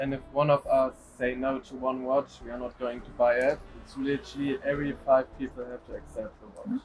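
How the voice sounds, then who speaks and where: Noticeable background noise sits under a man's medium-pitched voice. He talks at a fairly quick pace with monotone, flat intonation and big swings in loudness. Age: 20s. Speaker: watch collector. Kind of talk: interview.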